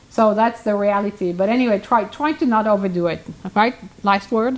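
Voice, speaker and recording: Against noticeable background noise, a woman with a non-native accent speaks at a fairly quick pace and fairly high pitch, with very even loudness and ordinary pitch variation. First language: not English. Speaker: hoof care professional. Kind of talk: casual chat. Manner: halting.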